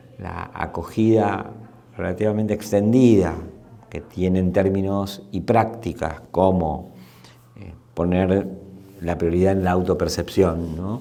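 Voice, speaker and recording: The room echo is audible as a man talks. His pitch is very deep and low, with fairly even intonation. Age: 60s. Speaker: anthropologist and sociologist. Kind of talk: interview. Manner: halting, many repetitions and fillers.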